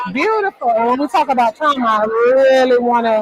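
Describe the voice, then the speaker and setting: The speaking pace is moderate. Background noise is noticeable behind it. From South Florida. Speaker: workshop presenter. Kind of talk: training workshop. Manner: loud.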